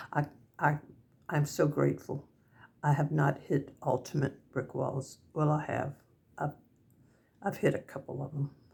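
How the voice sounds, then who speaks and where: A woman with a Southern US accent and a very deep, low pitch speaks in a somewhat breathy voice at a fairly slow pace with long, frequent pauses. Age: 70s. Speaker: senior vlogger. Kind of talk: casual talk to camera. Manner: halting.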